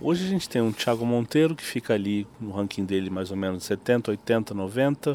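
This man talks at a moderate pace in a medium pitch. His pitch variation is ordinary. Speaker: podcast host, tennis journalist. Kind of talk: interview. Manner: halting.

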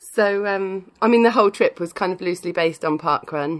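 A woman speaks with a British accent. Her voice is medium in pitch, with ordinary variation. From United Kingdom. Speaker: podcaster. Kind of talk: casual chat.

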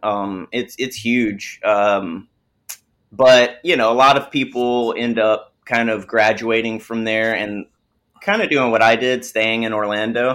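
A man speaks in a Southern US accent at a fairly slow pace. His pitch is medium, and his intonation is fairly even. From US South, small-town Alabama. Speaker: film composer. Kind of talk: interview.

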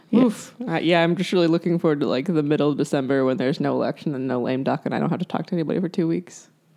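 A woman's very deep, low voice with an American accent, very fast pace, hardly any pauses and ordinary pitch variation, against noticeable background noise. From South Carolina. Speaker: podcast co-host for an abortion-rights group. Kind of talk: casual chat.

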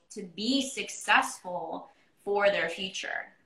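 Lively intonation runs through this woman's ordinary speaking voice. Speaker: podcast host and business coach. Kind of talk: interview. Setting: Instagram live video.

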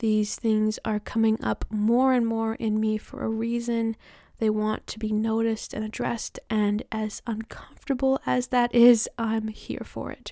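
A woman's fairly high voice has a dark, mellow, warm tone and flat, monotone intonation, with hardly any pauses. The recording is very clean and dry, close-up with a silent background and no echo. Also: fairly slow pace. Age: 20s. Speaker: self empowerment coach and podcast host. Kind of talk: solo podcast monologue, personal life update. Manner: warm, reflective.

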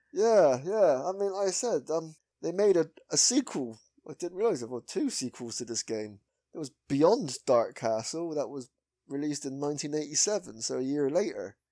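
Over a silent background on a very clean recording, a man with a West Country accent talks at a moderate pace. His fairly high pitch swings very widely. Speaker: podcast host. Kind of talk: casual chat.

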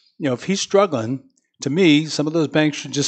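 At a fairly quick pace, a man with a plain, everyday voice speaks in an American accent, his fairly high pitch showing ordinary pitch variation. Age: 60s. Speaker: city mayor. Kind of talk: casual chat. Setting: studio.

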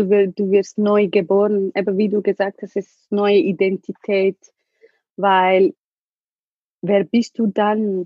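Very slow in pace, a woman speaks in a medium pitch with a dark, mellow tone. The sound is dry and close, with no echo. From Ethiopia. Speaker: survivor sharing her life story. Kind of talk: emotional testimony in an interview.

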